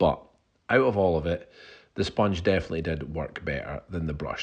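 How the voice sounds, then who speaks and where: Against a quiet background, a man with a Scottish accent talks at a very fast pace, his very deep, low voice showing vocal fry and lively intonation. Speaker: DIY home renovator. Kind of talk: casual talk to camera.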